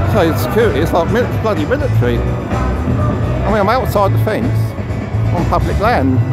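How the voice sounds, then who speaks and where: Over music in the background, a man talks at a moderate pace in a dry sound with no echo. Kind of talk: casual vlog chat. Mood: indignant, amused. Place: open country. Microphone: phone near.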